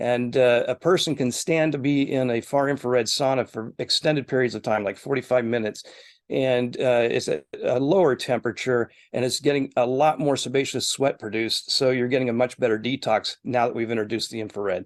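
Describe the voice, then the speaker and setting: A plain, everyday voice from a man at medium pitch, fairly quick in pace with ordinary pitch variation, dry and close with no echo against a quiet background. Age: 50s. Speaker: wellness center executive. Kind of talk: interview. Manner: frequent filler words.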